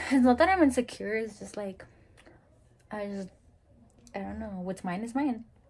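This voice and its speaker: A somewhat breathy woman's voice at a fairly high pitch, with big swings in loudness and long, frequent pauses. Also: ordinary pitch variation, moderate pace. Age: 20s. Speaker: YouTuber's girlfriend. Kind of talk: casual chat. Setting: home video recording. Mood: relaxed storytelling. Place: home room. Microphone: phone near.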